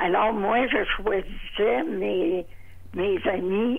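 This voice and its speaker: Over noticeable background noise, a woman speaks very slowly at a medium pitch with ordinary pitch variation. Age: 80s+. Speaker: retired legal secretary. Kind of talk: interview answer.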